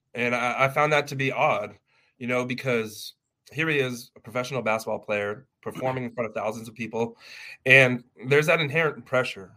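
With a Californian accent, a man speaks in a bright, sharp tone and fairly even intonation. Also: medium pitch for a man, fairly quick pace. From Los Angeles, California. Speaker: family lawyer. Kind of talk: interview.

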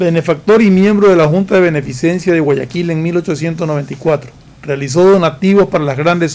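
A man's fairly high voice at a moderate pace, with fairly even intonation over noticeable background noise. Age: old. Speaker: political commentator. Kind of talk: radio talk show discussion. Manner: halting.

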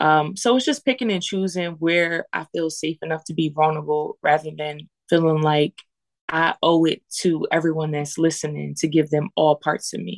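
With an American accent, a woman talks at a moderate pace in a very deep, low pitch, her pitch varying in an ordinary way over a dry, close sound with no echo. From US Northeast, Lancaster, Pennsylvania. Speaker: spoken word poet and musician. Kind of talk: casual interview.

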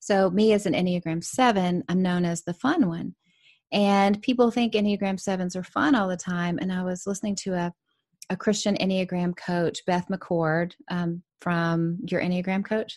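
Against a quiet background, an unremarkable speaking voice moves at a moderate pace in a dry, close sound with no echo. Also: woman, medium pitch for a woman, fairly even intonation. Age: 40s. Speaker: author and business coach. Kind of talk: interview.

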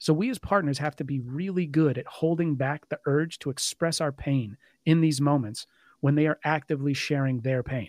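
In an American accent, a man with a fairly high pitch, ordinary pitch variation and an unremarkable speaking voice talks at a moderate pace, the sound dry and close with no echo on a very clean recording with a silent background. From Dallas suburbs, Texas. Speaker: author and trauma-support advocate. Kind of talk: interview.

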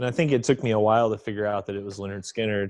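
Against a quiet background, a man with an American accent and an ordinary speaking voice talks at a fairly low pitch with fairly even intonation. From Oklahoma, US. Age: 30s. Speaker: metal musician. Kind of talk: interview.

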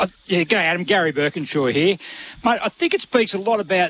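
A man with an Australian accent, high-pitched and fairly quick, in a dry, close sound with no echo

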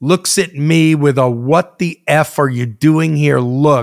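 A man with an American accent talks at a very slow pace, fairly high in pitch with ordinary variation. The sound is dry and close, with no echo. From New York / New Jersey. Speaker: music industry veteran, former DJ. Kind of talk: interview storytelling.

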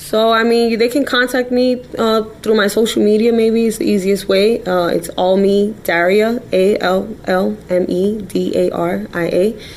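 A woman with an American accent speaks at a fairly slow pace and medium pitch, with ordinary pitch variation and hardly any pauses. Her loudness stays very even over noticeable background noise. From New York City, the Bronx. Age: 20s. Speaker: crime victim's relative. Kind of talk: interview. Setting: studio.

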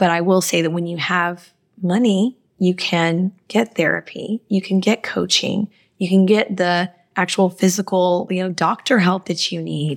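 With a plain, everyday voice, a woman talks at a fairly slow pace, her medium pitch carried in fairly even intonation. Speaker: co-host and finance coach. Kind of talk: casual chat. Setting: video call across continents.

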